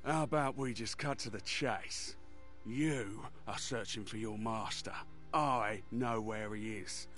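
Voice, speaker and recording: Clear music plays behind a man doing a put-on character voice. His pitch is medium and his pace fairly slow. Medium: video game. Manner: crude, mocking and threatening.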